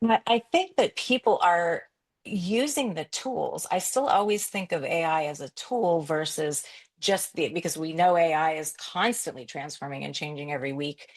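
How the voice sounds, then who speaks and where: Against a quiet background, a woman with an unremarkable speaking voice and fairly low pitch uses lively intonation at a moderate pace. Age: 50s. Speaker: photographer and business coach. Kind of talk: interview.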